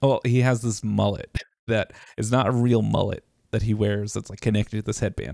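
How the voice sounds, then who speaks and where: In a plain, everyday voice with an American accent, a man speaks at a fairly quick pace and medium pitch, the sound dry and close with no echo. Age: 30s. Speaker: podcast host and streamer. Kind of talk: casual chat. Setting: home recording in bedroom.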